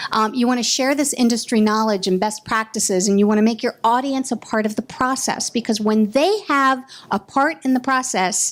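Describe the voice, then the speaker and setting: A woman's fairly high voice with ordinary pitch variation, very even loudness and hardly any pauses. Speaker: workshop presenter. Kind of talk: workshop presentation. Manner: fast; animated.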